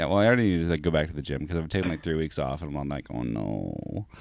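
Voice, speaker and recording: Against a silent background on a very clean recording, a man talks at a very fast pace in a very deep, low voice with lively intonation. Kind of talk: casual podcast banter.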